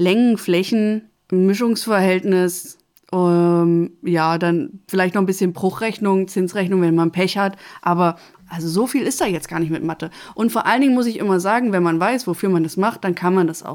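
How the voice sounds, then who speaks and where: Heard in a very clean recording with a silent background, a woman speaks in a plain, everyday voice of medium pitch at a moderate pace. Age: 30s. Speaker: social worker and master carpenter. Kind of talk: interview. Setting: studio.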